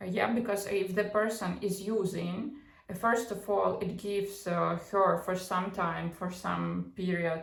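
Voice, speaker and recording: A woman speaks at a medium pitch and a moderate pace with fairly even intonation, with noticeable background noise and audible room echo. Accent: non-native. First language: not English. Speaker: psychology and pop culture commentator. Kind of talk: casual commentary monologue. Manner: halting, many fillers and false starts.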